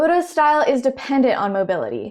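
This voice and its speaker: This woman speaks in a Southern US accent. Her pace is moderate. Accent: Southern American. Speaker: sumo commentator. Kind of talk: explainer narration.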